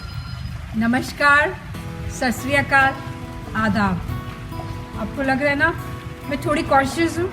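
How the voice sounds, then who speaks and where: With music playing behind her, a woman speaks with long, frequent pauses. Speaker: talk show host. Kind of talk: channel intro to camera.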